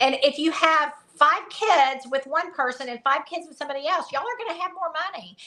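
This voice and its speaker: Using a raised, projected voice, a woman with a Southern accent speaks with lively intonation and a bright, sharp tone. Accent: Southern, drawn-out vowels. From US South. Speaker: conservative education activist. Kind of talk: casual interview chat.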